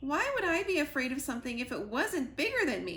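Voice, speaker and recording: In a put-on character voice, a woman speaks high and at a fairly quick pace, with clear background noise behind her. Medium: read story. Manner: jittery, dramatic.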